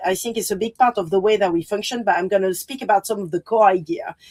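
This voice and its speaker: A woman with a strong French accent, in dry, close sound with no echo. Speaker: designer and artist. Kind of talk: panel presentation. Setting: virtual presentation, video call.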